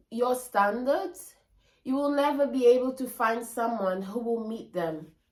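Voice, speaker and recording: A woman's high, animated voice with lively intonation at a fairly slow pace, with a non-native accent. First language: not English. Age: 20s. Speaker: lifestyle vlogger. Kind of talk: casual vlog monologue.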